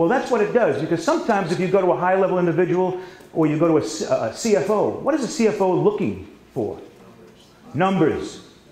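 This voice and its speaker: With a New York accent, a man speaks at a fairly quick pace in a high pitch and lively intonation, with audible room echo and noticeable background noise. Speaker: sales trainer. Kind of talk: seminar training. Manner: fast.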